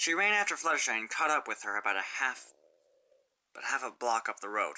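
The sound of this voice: At a fairly quick pace, a woman speaks with an extremely low pitch, a bright, sharp tone and big pitch swings.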